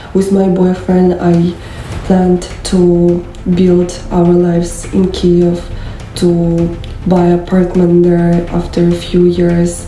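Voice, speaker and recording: A woman's fairly low voice at a very slow pace, monotone and flat in intonation, with very even loudness, audible room echo and noticeable background noise. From Ukraine. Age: 20s. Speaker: war refugee. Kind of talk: testimony. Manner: halting, many fillers.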